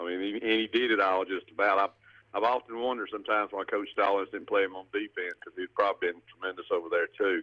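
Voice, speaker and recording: Delivered at a very fast pace, the speech shows big swings in loudness in a dry, close sound with no echo. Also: man. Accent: Southern US. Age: 60s. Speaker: caller. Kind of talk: radio call-in. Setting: phone call.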